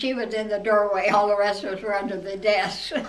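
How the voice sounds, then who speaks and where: With an American accent, a woman of medium pitch speaks at a moderate pace amid audible room echo and noticeable background noise. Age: 90s. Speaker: eyewitness interviewee. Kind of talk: interview reminiscence. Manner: halting.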